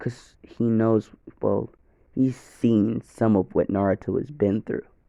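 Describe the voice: The voice is plain reading aloud with fairly even intonation.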